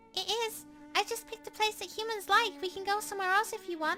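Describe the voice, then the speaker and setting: A squeaky, put-on character voice rattles along at a very fast pace. Clear music plays in the background. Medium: solo performance. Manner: enthusiastic, earnest.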